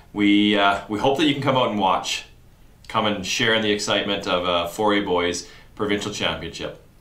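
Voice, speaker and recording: Talking at a fairly quick pace, a man with a fairly low pitch sounds out amid audible room echo. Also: ordinary pitch variation. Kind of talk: announcement to camera. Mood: upbeat, promotional. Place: office.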